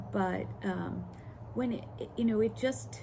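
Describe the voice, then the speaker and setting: Audible room echo carries this woman's voice. She talks at a fairly slow pace. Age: 60s. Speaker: lifestyle vlogger. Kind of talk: personal story monologue. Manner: halting, many fillers.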